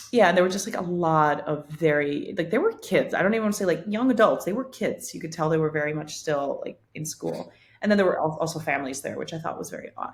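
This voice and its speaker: This woman with a Spanish accent sounds somewhat breathy, with a fairly low pitch and ordinary pitch variation, talking very fast with hardly any pauses. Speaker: podcast co-host. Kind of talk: casual chat.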